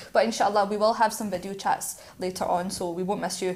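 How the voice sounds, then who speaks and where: Fairly quick speech from a woman. She has a Scottish accent. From Scotland. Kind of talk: casual chat. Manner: fast.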